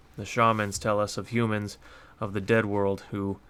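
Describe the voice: The clip consists of plain reading aloud.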